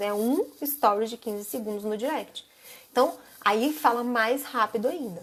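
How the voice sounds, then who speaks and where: Her high pitch for a woman shows ordinary pitch variation. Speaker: social media marketing instructor. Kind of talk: live stream class. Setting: live stream. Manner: fast; casual.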